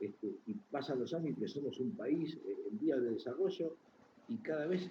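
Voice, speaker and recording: In a Buenos Aires accent, a man speaks at a moderate pace with a fairly high pitch. His voice shows vocal fry and very wide pitch swings. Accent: Rioplatense Spanish (Buenos Aires). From Argentina. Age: 60s. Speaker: chess journalist. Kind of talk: interview.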